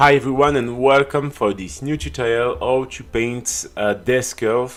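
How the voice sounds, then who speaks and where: With a French accent, a man speaks fairly slowly at a medium pitch, his pitch varying in an ordinary way. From France. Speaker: miniature painting youtuber. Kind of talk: tutorial. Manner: halting, many fillers.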